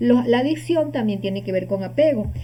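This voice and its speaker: With a dark, mellow tone and a fairly low pitch, a woman's voice rises and falls in very wide swings against audible room echo. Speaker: holistic healing teacher. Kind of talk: lecture.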